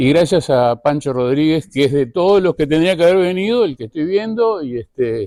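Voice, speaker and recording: A man's dark, mellow tone moves with lively intonation, recorded with a dry, close sound and no echo. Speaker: tourism journalist and media director. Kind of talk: conference talk.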